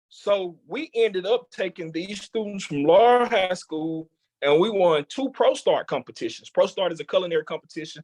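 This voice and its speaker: Speaking at a moderate pace with an American accent, a man uses a high pitch with ordinary variation, heard in a dry, close sound with no echo. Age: 30s. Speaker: chef and culinary educator. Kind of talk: interview testimony.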